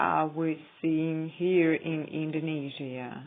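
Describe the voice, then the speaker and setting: A woman with a non-native accent speaks in a very deep, low voice. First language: not English. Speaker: YouTuber. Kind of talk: casual vlog monologue. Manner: halting, many fillers.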